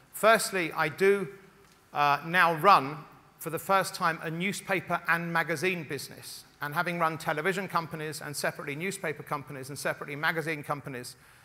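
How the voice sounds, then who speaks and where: A man speaks fairly quickly in a fairly high voice with a bright, sharp tone. His intonation is fairly even, but his loudness swings widely. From Scotland. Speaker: media executive. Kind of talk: conference keynote speech. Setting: stage with audience.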